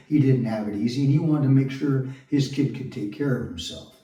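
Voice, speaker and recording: With an American accent, a man speaks fairly quickly at a medium pitch, and audible room echo surrounds his voice. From Southern California (Long Beach). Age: 60s. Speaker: actor and construction worker vlogger. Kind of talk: personal monologue.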